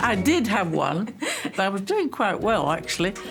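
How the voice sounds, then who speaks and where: A woman at a fairly slow pace over background music. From United Kingdom. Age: 80s+. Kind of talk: interview answer.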